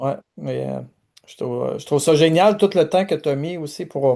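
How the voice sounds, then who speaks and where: The speaker is a man in a Quebec accent. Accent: Québécois French. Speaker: pastor and video host. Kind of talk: interview conversation. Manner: halting, many fillers.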